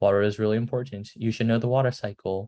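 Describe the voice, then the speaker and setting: Against a quiet background, the words come out very fast. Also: man. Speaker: student presenter teaching science. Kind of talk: lecture. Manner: casual, filler-heavy.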